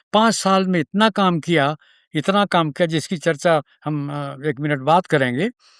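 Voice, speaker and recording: In a very clean recording with a silent background and a dry, close sound with no echo, a man speaks at a high pitch with ordinary pitch variation. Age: 80s+. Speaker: agricultural scientist. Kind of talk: interview. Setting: studio.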